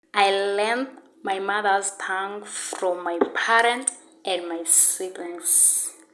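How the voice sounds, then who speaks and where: Speaking at a very slow pace, a woman with a medium pitch keeps her intonation fairly even, with audible room echo and noticeable background noise. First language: an African home language. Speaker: university student. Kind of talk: class presentation.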